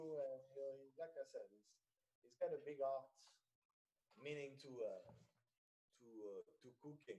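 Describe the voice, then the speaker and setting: With a French accent, a man talks at a moderate pace. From France. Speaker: personal chef. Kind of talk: radio interview. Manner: halting, many fillers.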